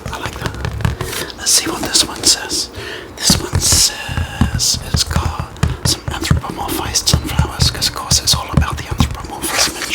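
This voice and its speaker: Whispering at a moderate pace in a relaxed tone, with music in the background. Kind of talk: ASMR whisper talk to camera. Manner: soft-spoken, relaxed.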